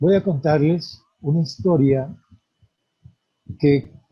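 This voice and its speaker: A somewhat breathy man at a very slow pace, with ordinary pitch variation. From Colombia, Antioquia/Caldas paisa region. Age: 60s. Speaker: farmer and community leader. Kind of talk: conference talk.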